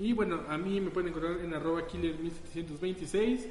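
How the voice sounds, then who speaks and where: A man with a Mexican accent speaks in a high voice. Audible room echo and noticeable background noise fill the recording. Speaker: podcast host. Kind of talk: casual chat.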